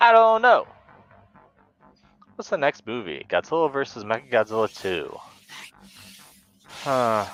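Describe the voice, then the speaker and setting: Music plays behind a man whose fairly high pitch swings very widely and whose loudness swings a lot. He speaks at a fairly slow pace with long, frequent pauses, in a dry, close sound with no echo. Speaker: kaiju movie streamer. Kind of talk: live stream casual chat.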